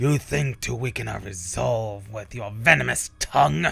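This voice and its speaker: A man's put-on character voice, growling at a fairly low pitch and moderate pace, with very wide pitch swings and big swings in loudness. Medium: game stream. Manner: stern, military.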